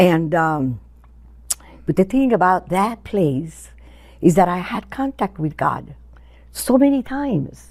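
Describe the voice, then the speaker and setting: A woman with a medium-pitched voice speaks very slowly with long, frequent pauses and very wide pitch swings, on a very clean recording with a silent background. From Cuba. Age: 80s+. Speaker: interviewee sharing faith story. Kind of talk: testimony.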